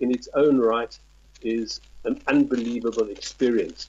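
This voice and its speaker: A man speaks with a South African accent. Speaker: tourism representative. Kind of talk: interview. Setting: Skype call. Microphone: possible crackle on Skype line.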